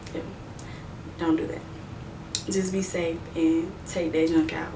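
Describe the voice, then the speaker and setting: Noticeable background noise along with audible room echo. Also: woman. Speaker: beauty and lifestyle youtuber. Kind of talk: casual advice vlog. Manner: casual, conversational.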